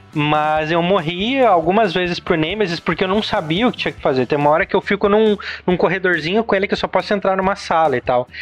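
With music in the background, the speech runs very fast with hardly any pauses, very even loudness and ordinary pitch variation. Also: man, high pitch for a man. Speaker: digital marketing specialist. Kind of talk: casual chat. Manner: animated.

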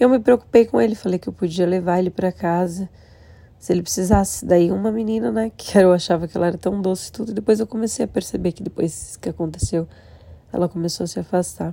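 A woman's dark, mellow voice in a Brazilian accent, medium in pitch, very fast, with ordinary pitch variation. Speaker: vlogger and casino worker. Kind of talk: personal vlog monologue. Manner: emotional.

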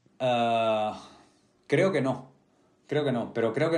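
A man speaks at a fairly slow pace and medium pitch, with ordinary pitch variation and audible room echo. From Spain, Getafe (Madrid). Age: 30s. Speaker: actor. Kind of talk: interview conversation.

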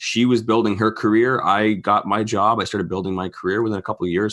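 A man's very fast, fairly low-pitched delivery in a Canadian accent, his intonation fairly even. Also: quiet background. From Ontario, Canada (St. Catharines). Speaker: real estate investor and podcast host. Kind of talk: casual interview chat.

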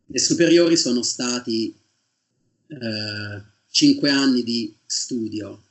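Here a man talks at a medium pitch. His intonation stays fairly even. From Tuscany, Italy (province of Siena). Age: 30s. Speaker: PhD student in geology. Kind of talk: interview.

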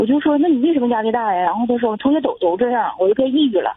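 Amid noticeable background noise, a woman speaks in a high voice with ordinary pitch variation. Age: 40s. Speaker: caller, full-time mother. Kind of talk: phone-in advice call. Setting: phone call. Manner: halting.

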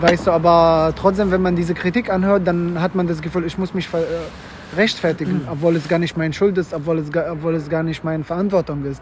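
Over noticeable background noise, a man speaks fairly quickly at a high pitch in a monotone, flat intonation. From Syria. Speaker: student. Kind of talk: casual chat. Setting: outdoors.

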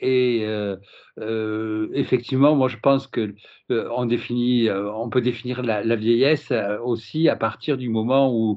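Very slowly, a man of medium pitch speaks with fairly even intonation. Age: 60s. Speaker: LGBT seniors association president. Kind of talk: podcast interview. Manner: halting, many repetitions.

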